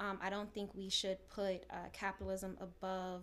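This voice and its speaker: Speaking with an American accent, a woman has an unremarkable speaking voice at medium pitch. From New York City. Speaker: social entrepreneur. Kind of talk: podcast panel discussion.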